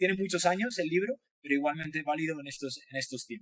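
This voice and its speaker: Recorded with a dry, close sound and no echo, a man speaks with a Spanish accent. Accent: Spanish (Spain). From Spain. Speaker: design professor. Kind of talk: webinar talk. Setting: online webinar. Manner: talkative, many hesitations.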